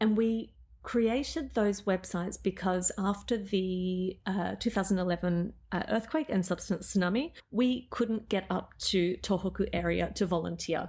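Speaking at a moderate pace with an Australian accent, a woman has a somewhat breathy voice at medium pitch with ordinary pitch variation, on a very clean recording with a silent background. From Australia, Melbourne. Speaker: photographer and business owner. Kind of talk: casual interview chat.

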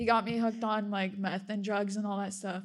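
The pitch of this woman's voice sits fairly high. She delivers her words with flat, monotone intonation. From Russia, raised in US from age five. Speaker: church member sharing testimony. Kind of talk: testimony.

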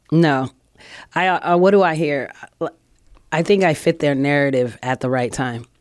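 A woman speaks at a very deep, low pitch and a moderate pace, leaving long, frequent pauses. Her pitch varies normally, on a very clean recording with a silent background. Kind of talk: casual chat.

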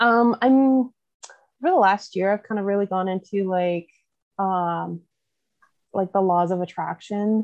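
Speaking fairly slowly with long, frequent pauses, a woman with a Canadian Prairie accent uses a medium pitch with ordinary variation. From Canada, southwest Manitoba. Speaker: vet tech turned oil hauler and mom. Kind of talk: casual interview chat.

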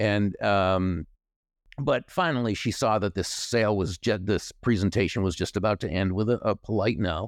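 A man with a plain, everyday voice speaks at a fairly low pitch with an American accent, ordinary pitch variation and a moderate pace. The loudness is very even, and the sound is dry and close with no echo in a very clean recording with a silent background. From Massachusetts, US. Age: 60s. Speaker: author and speaker. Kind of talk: casual interview chat.

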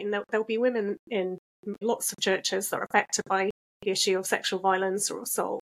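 At a fairly quick pace, a woman with a normal speaking voice talks at a fairly high pitch. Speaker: podcast host. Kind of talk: casual interview.

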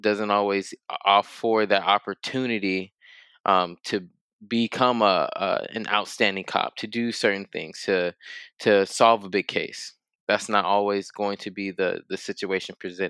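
In an American accent, a man speaks with a fairly low pitch and a bright, sharp tone, at a fairly slow pace and in a monotone, flat intonation, on a very clean recording with a silent background.

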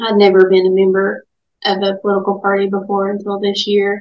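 A woman's medium-pitched voice with monotone, flat intonation and an Appalachian accent. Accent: Appalachian Southern US. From Southwest Virginia, Dickenson County. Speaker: lawyer and political candidate. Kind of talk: radio interview.

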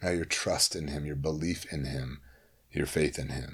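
With an American accent, a man talks at a moderate pace in a very deep, low, flat monotone touched by vocal fry. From US Midwest, Holland, Michigan (Cuban family). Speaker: youth minister. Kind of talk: casual chat.

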